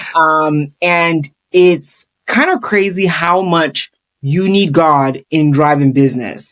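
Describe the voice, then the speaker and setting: A woman with an African accent speaks at a very slow pace in a very deep, low pitch. Her loudness stays very even, and her pitch varies in an ordinary way. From Ghana. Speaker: real estate investor and YouTuber. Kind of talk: podcast interview.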